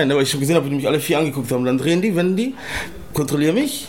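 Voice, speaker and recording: There is noticeable background noise as a man speaks with a fairly high pitch. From Czech Republic and Germany. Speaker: Sinto grandson of Holocaust survivor. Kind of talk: interview testimony.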